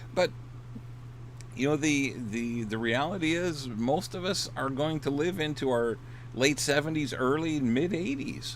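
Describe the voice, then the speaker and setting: A man's fairly high voice in an American accent, fairly slow, with ordinary pitch variation and audible room echo. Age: 60s. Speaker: dating coach and author. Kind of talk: casual livestream talk. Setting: in his RV. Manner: hesitant, many repeated words and fillers.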